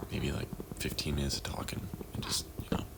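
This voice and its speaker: Soft-spoken, a man talks at a fairly quick pace. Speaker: gaming vlogger. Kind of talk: casual gameplay chat. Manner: halting.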